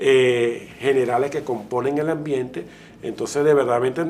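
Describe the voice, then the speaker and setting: Over noticeable background noise, a man with a Venezuelan accent speaks in a flat monotone. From Venezuela, Maracay. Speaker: wildlife veterinarian, conservationist. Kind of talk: interview. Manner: halting, many repetitions.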